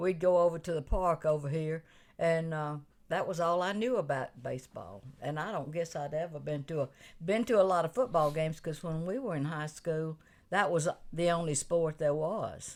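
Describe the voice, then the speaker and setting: In an Alabama accent, a woman talks at a moderate pace with fairly low pitch and ordinary pitch variation, captured in a very clean recording against a silent background. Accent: Southern US (Alabama). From US South (Atmore, Alabama). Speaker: retired bank HR worker. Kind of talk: casual chat. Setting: radio studio.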